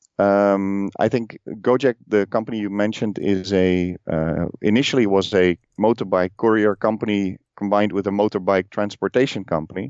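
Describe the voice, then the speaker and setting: With a Dutch accent, a man speaks at a fairly low pitch with fairly even intonation. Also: moderate pace. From Netherlands. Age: 40s. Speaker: podcast host and telecom professional. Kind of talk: casual interview. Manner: halting, many fillers.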